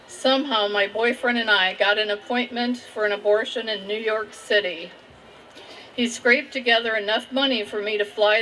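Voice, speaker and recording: Over noticeable background noise, a woman with a Midwestern American accent speaks fairly slowly at a fairly high pitch with fairly even intonation. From Indiana, USA. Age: 60s. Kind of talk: personal testimony.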